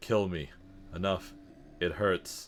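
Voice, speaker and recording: A man puts on a character voice that is croaky and pitched very deep and low. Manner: pained, pleading.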